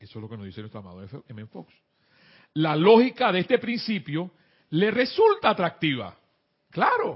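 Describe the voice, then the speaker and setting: A man with a Panamanian accent talks at a moderate pace, his loudness swinging widely, with long pauses coming often. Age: 50s. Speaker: spiritual teacher. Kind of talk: spiritual class on internet radio.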